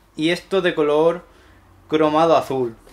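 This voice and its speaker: The speaker is a man with a fairly high pitch. He talks at a very slow pace. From Spain. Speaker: tech YouTuber. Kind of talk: unboxing tutorial. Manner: animated. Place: home room.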